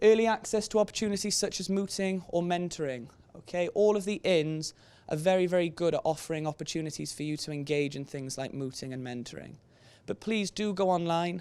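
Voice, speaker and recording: Heard in a Welsh accent, the voice sits on a very clean recording with a silent background. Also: man. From Wales. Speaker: careers presenter, trainee barrister. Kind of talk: presentation to students. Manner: conversational, frequent 'okay?' tag.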